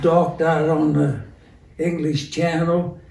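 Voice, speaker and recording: A man with a fairly high voice speaks at a fairly slow pace. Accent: western Pennsylvania. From western Pennsylvania, USA. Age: 90s. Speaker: World War II veteran. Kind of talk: interview answer.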